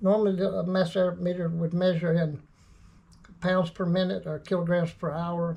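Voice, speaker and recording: A man speaks at a moderate pace in a high pitch, with a dark, mellow tone and flat, monotone intonation. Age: 60s. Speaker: car tuner and former dealer mechanic. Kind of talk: tutorial. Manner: halting, many fillers and repeats.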